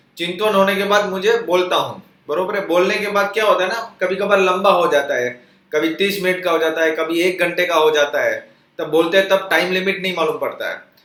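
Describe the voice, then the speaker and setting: Against noticeable background noise, a man with a high pitch speaks with fairly even intonation. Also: moderate pace. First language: Gujarati or Kutchi (speaking Hindi). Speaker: religious YouTuber. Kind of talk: informal religious talk. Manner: conversational.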